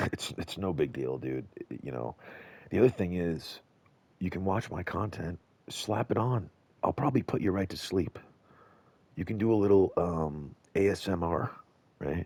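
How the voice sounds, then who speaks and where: A man speaks with a very deep, low pitch and vocal fry. His intonation is lively, broken by long, frequent pauses. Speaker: video content creator.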